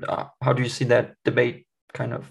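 At a moderate pace, a man talks with a German accent. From Germany. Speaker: podcast host. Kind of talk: podcast interview. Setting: video call.

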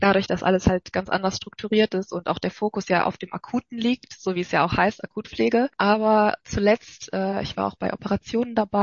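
A woman with a medium pitch speaks at a fairly quick pace with fairly even intonation. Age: 20s. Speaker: nursing trainee. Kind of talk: casual chat. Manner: hesitant, many filler sounds.

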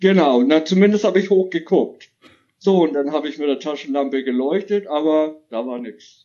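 A man speaks at a moderate pace with a fairly high pitch and ordinary pitch variation. He has an ordinary speaking voice. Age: 50s. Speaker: caller. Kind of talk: testimony.

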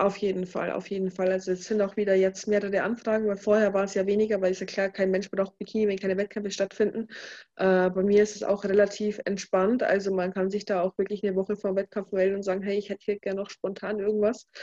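Speaking very fast in a flat monotone, a woman has a medium-pitched voice with a dark, mellow tone. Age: 20s. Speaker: bikini fitness athlete. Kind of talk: casual chat.

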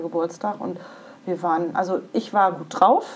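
A woman with a fairly low pitch and ordinary pitch variation, at a moderate pace over noticeable background noise. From western Germany (Iserlohn, Sauerland). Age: 40s. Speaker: career coach and breast cancer survivor. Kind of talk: interview testimony.

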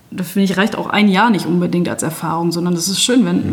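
A woman speaks very fast in a fairly low voice. Her intonation is fairly even, and there is noticeable background noise. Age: 30s. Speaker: nursing educator. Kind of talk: interview. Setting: on location, in person.

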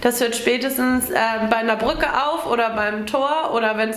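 A woman speaks at a moderate pace in a high-pitched voice. Audible room echo and noticeable background noise fill the recording. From Schleswig-Holstein, northern Germany (Wedel). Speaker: riding instructor and stable owner. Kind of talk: interview. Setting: on location at a riding clinic. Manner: hesitant, many fillers.

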